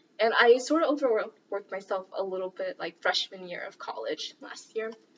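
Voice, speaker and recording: Noticeable background noise surrounds a woman whose fairly high-pitched voice has lively intonation and big swings in loudness. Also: moderate pace. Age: 20s. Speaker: student volunteer. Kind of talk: casual cooking vlog chat.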